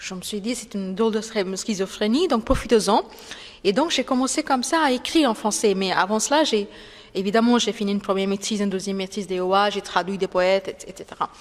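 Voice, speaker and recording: A woman speaks very fast with a non-native accent. Her pitch sits in the medium range. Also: ordinary pitch variation. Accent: foreign accent in French. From India, Calcutta. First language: Bengali (speaking French). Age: 40s. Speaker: writer. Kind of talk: interview. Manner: halting, many hesitations.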